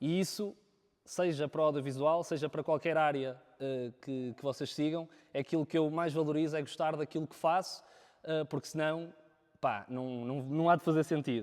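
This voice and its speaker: A man at a fairly high pitch, fairly even intonation, music in the background. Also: moderate pace. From northern Portugal, Viana do Castelo. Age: 20s. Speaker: videographer. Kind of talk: talk to a live audience. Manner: halting, many fillers.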